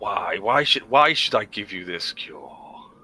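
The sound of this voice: Speaking fairly slowly, the man puts on a raspy character voice.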